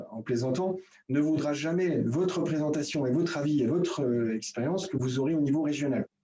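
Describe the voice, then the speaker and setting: A man talks at a moderate pace. His fairly high pitch shows ordinary variation. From Franche-Comté, eastern France. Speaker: building trade federation technical advisor. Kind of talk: presentation in a video meeting. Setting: video conference. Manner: hesitant, many filler euh.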